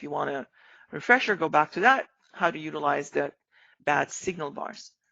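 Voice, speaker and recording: Her pitch very deep and low, a woman talks at a fairly quick pace with vocal fry. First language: not English. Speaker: trading educator. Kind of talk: live-streamed trading lesson. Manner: casual, many fillers.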